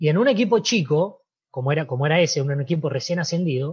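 A man with a fairly high voice and an Argentine accent talks very fast with lively intonation. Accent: Argentine Spanish (Rioplatense). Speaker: former footballer. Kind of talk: interview.

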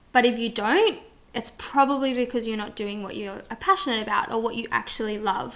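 Speaking at a fairly quick pace, a woman with a fairly high pitch and ordinary pitch variation swings widely in loudness over noticeable background noise. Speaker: podcast host. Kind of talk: casual chat.

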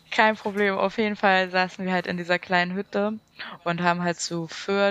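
At a moderate pace, a woman speaks in a monotone, flat way at a medium pitch, with a dry, close sound with no echo. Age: 20s. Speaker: podcast guest. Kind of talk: casual chat.

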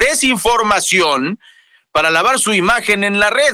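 A man speaks at a moderate pace with very wide pitch swings. His tone is bright and sharp. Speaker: radio news anchor. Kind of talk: news show chat.

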